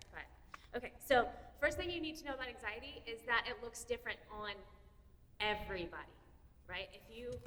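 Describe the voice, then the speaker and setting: With lively intonation and a fairly high pitch, a woman talks at a fairly quick pace. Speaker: therapist. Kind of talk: presentation to parents. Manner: loud; fast.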